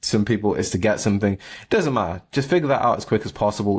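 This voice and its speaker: Here a man speaks with a British accent. His pace is fairly quick, with ordinary pitch variation. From England. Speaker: barista and entrepreneur vlogger. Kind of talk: casual vlog monologue. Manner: high energy.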